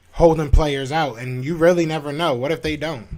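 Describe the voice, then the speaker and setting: A man's fairly high voice, with ordinary pitch variation and a fairly quick pace. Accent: American. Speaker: sports podcast host. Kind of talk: live stream sports talk. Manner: loud; animated.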